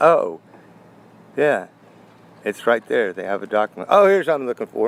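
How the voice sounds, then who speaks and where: Recorded dry and close with no echo, a man with a medium pitch swings his voice very widely up and down. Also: moderate pace. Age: 60s. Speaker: coin collector. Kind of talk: casual talk to camera.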